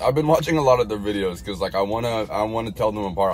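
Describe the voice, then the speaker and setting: Here a man talks very fast with lively intonation. The sound is dry with no echo, over light background noise. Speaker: livestreamer. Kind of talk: casual livestream chat. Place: car. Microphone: phone near.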